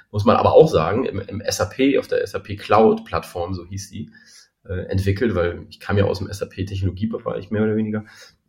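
A man's fairly low voice at a fairly quick pace. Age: 40s. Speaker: startup founder. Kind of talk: interview.

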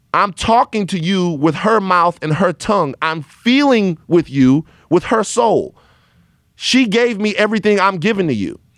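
A man speaks in an American accent at a moderate pace. His pitch is high and his tone animated. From US South, Baton Rouge, Louisiana. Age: 30s. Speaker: podcast host. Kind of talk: casual chat. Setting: studio.

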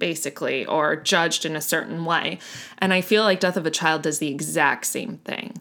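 A woman's fairly low voice with vocal fry, at a moderate pace and with ordinary pitch variation. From Miami, Florida. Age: 30s. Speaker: podcast co-host. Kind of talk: casual chat.

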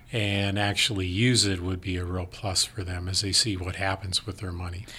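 A man with an Upper Midwest accent, bright and sharp in tone, at a moderate pace. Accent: Upper Midwest American. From rural South Dakota. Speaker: financial advisor. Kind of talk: casual chat.

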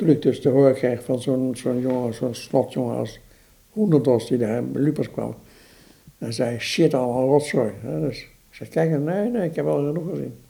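With a dark, mellow tone at a medium pitch, a man speaks at a moderate pace with big swings in loudness. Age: 70s. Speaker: museum director and exhibition curator. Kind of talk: interview about art history. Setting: in his living room. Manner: halting.

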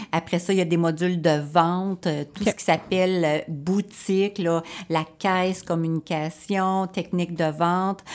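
A woman speaks in a Quebec accent at a fairly slow pace and a fairly low pitch. Her intonation is monotone and flat, on a very clean recording with a silent background. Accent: Québécois French. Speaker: florist teacher. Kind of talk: radio interview. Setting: studio.

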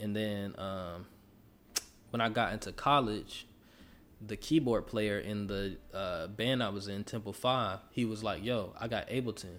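A man speaks fairly slowly in a fairly low voice with fairly even intonation. It is a plain, everyday voice. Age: 20s. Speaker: rapper. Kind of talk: casual chat.

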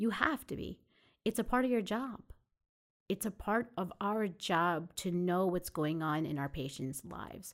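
A woman with a New York accent, medium pitch, fairly slow pace and lively intonation, on a very clean recording with a silent background. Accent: New York American. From Long Island, New York. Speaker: family physician. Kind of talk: interview.

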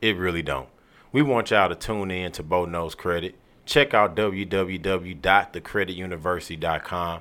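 A man speaks in a very deep, low voice with vocal fry and ordinary pitch variation. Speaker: podcast host. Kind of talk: casual interview.

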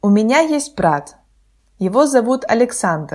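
Intonation is lively as a woman speaks. She keeps a fairly slow pace. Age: 20s. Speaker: Russian language podcast host for learners. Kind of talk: scripted narration. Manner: slow, clear.

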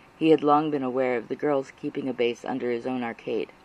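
At a fairly quick pace, a man speaks in an intense, solemn tone with fairly even intonation. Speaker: audiobook narrator. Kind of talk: dramatic audiobook narration of fan fiction, read aloud with tense, emotional buildup. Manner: intense, earnest, solemn pacing with dramatic weight.

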